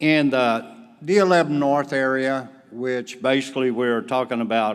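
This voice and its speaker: Spoken at a moderate pace with a slight Southern US accent, the voice carries audible room echo. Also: man. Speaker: volunteer organization leader. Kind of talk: conference report. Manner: animated.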